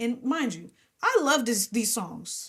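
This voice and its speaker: On a very clean recording with a silent background, a woman with an American accent speaks at a fairly slow pace, somewhat breathy, with ordinary pitch variation. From New Jersey. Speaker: gospel and R&B singer. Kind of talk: interview. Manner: animated.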